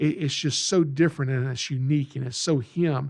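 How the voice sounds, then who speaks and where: Against a quiet background, a man with a Southern US accent speaks at a moderate pace in a fairly high pitch, his tone dark, mellow and somewhat breathy. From Georgia, US South. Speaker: reptile educator and podcast host. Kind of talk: podcast monologue. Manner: casual, folksy; animated.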